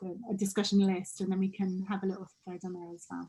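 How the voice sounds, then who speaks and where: This woman has a medium pitch and a dark, mellow tone that is somewhat breathy. She talks at a fairly quick pace. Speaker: coach leading a group training session. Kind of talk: group video call session, guided reflection and chat.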